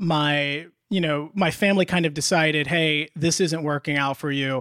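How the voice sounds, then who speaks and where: Speaking at a moderate pace in a normal speaking voice, a man with an American accent and fairly high pitch comes through on a very clean recording with a silent background and a dry, close sound with no echo. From US Midwest (Indiana, Illinois). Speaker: law school admit. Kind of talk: interview.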